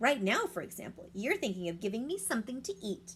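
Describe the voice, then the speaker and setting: Over clear background noise, a woman rattles along at a very fast pace in a put-on character voice at a medium pitch. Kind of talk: bedtime story. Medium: read story.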